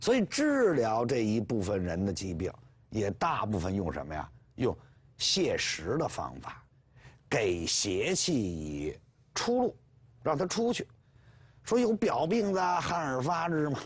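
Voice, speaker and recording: Over a quiet background, a man speaks at a very slow pace with very wide pitch swings and long, frequent pauses. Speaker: professor lecturer. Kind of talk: lecture. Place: studio. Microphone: lapel.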